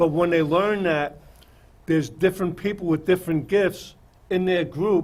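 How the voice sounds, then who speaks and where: A man in a New York accent talks at a high pitch with ordinary pitch variation. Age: 60s. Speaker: TV talk show host. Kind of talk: casual talk show discussion. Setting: studio.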